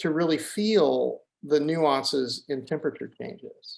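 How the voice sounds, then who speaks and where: The intonation here is lively. The pace is fairly slow. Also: man. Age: 60s. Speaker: ecosystem restoration advocate. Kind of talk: conversational interview. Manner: animated, repetitive false starts.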